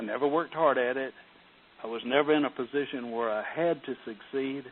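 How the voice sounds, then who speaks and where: A man speaks at medium pitch and a moderate pace, with ordinary pitch variation. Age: 60s. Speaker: retired real estate investor. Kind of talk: interview. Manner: hesitant, with many fillers.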